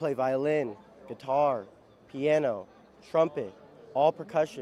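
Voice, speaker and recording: This man has a Midwestern accent and a dark, mellow tone. He talks at a fairly slow pace. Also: fairly high pitch for a man, ordinary pitch variation. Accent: American Midwest. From Ohio, US Midwest. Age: 20s. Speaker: bagpiper. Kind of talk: casual interview.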